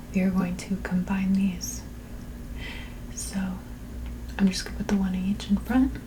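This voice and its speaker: A soft-spoken woman talks at a moderate pace, leaving long, frequent pauses. Noticeable background noise runs underneath. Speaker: calculus tutor. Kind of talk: math tutorial, working through a practice exam. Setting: busy street noise in background. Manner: soft-spoken, ASMR style.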